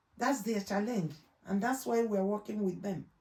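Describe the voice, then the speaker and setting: This woman has a Nigerian accent and a medium pitch. Her tone is dark and mellow. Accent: Nigerian accent, kept. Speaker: trainer in law and healthcare. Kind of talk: interview. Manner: loud and clear; halting.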